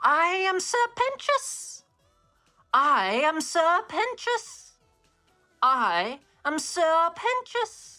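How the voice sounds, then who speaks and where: A put-on character voice speaks at an extremely high pitch and a very slow pace, with long, frequent pauses. Its pitch swings very widely over faint music in the background. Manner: theatrical, villainous.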